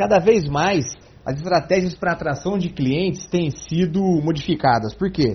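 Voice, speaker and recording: The man's high-pitched voice moves at a moderate pace with lively intonation. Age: 40s. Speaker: sales and marketing consultant. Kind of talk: interview.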